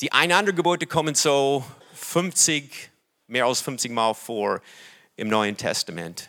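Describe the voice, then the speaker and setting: In an English accent, the voice has a bright, sharp tone, very wide pitch swings and big swings in loudness. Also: man, fairly high pitch for a man. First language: English (speaking German). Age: 60s. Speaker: pastor. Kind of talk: sermon. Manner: halting.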